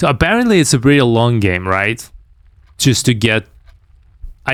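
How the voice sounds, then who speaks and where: A man's medium-pitched voice with a non-native accent, in a very clean recording over a silent background. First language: not English. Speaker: game streamer. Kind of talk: live gameplay commentary. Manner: halting.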